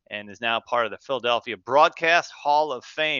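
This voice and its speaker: Speaking in a plain, everyday voice with an American accent, a man keeps a medium pitch and ordinary pitch variation. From Central New Jersey. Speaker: podcast host, meteorologist. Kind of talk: podcast interview.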